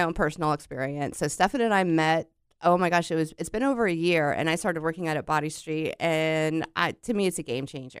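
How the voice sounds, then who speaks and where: Her voice is a plain, everyday voice with a fairly low pitch. The woman talks at a fairly quick pace with lively intonation. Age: 50s. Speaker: radio host. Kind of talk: radio interview. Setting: radio studio.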